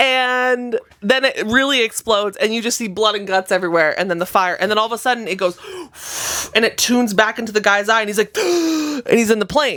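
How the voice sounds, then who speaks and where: Speaking at a fairly quick pace, a woman with a fairly high pitch and ordinary pitch variation comes through over noticeable background noise. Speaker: podcast co-host. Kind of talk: casual chat, retelling a movie plot. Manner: animated, with sound effects and acted-out dialogue.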